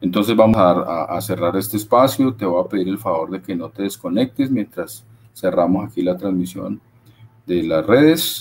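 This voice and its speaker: A man talks at a moderate pace with a fairly low pitch and ordinary pitch variation. There is light background noise. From Colombia. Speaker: webinar host. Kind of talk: webinar moderation. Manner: halting, repeats words. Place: home room.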